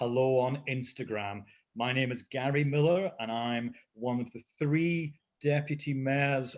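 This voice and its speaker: In an Edinburgh accent, a man talks at a fairly slow pace, medium in pitch with ordinary pitch variation. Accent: Edinburgh Scottish. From Scotland, Leith in Edinburgh. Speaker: deputy mayor. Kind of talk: live interview. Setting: video call livestream.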